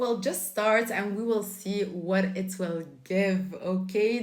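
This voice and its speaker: A woman with a Flemish accent speaks fairly slowly at a medium pitch. Audible room echo and noticeable background noise surround her. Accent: Belgian Dutch-speaking accent in English. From Belgium. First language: Dutch. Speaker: lifestyle YouTuber. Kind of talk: casual vlog monologue.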